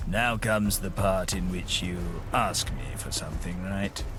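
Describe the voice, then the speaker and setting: Over loud background noise, a man performs a put-on character voice pitched very deep and low. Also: moderate pace. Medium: machinima. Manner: wry, theatrical, self-satisfied.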